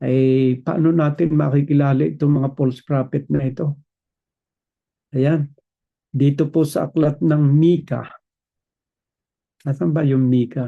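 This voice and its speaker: Somewhat breathy and fairly high in pitch, a man speaks fairly slowly with very even loudness, fairly even intonation and long, frequent pauses. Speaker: preacher. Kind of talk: sermon.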